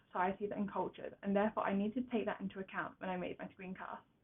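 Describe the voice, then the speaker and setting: The speaker is a woman with a medium-pitched voice. She talks at a very fast pace. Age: young. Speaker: university student. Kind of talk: reflective presentation read from script. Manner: occasional stumbles over words.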